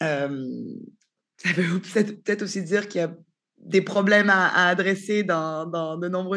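Against a quiet background, a woman with a fairly low pitch speaks at a fairly slow pace with fairly even intonation. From Canada. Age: 30s. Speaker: startup co-founder. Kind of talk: interview. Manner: hesitant, many fillers.

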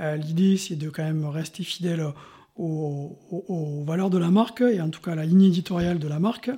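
A high-pitched male voice with a dark, mellow tone, ordinary pitch variation and a moderate pace. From France, Montpellier. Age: 40s. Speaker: insurance agent. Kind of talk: casual interview.

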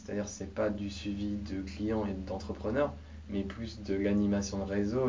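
With audible room echo, a man talks at a moderate pace in a somewhat breathy, fairly low voice with ordinary pitch variation. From France, Mayenne. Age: 20s. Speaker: startup coach. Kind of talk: interview.

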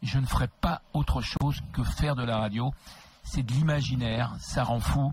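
A man's medium-pitched voice with vocal fry. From Paris region (Créteil). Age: 60s. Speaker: radio host. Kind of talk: interview. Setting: studio.

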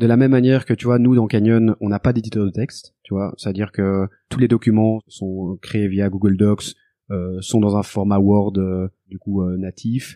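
A man speaks at a fairly slow pace, his fairly low voice keeping a fairly even intonation. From Brussels, Belgium. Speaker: legal tech entrepreneur, former lawyer. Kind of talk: interview.

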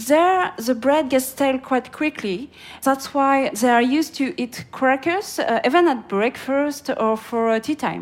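Speaking with a French accent, a woman with a high pitch and ordinary pitch variation talks at a fairly slow pace. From France. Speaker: market analyst. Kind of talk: interview. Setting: outdoors. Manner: hesitant with fillers.

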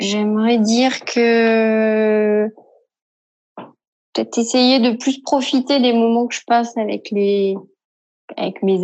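A woman with a fairly high pitch and fairly even intonation talks at a very slow pace, stopping for long, frequent pauses. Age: 40s. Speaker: radiologist. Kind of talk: recorded testimony.

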